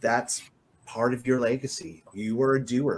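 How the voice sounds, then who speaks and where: With a Canadian accent, a man speaks in an unremarkable speaking voice at medium pitch and a fairly slow pace. The recording is very clean, the background silent. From rural Alberta, Canada. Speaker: podcast host. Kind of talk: interview.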